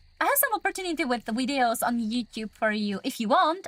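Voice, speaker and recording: With a non-native accent, a woman speaks at a high pitch and a moderate pace, her pitch swinging very widely, in a dry, close sound with no echo. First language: not English. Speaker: gaming livestreamer. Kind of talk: casual live gaming stream chat. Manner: hesitant, many fillers.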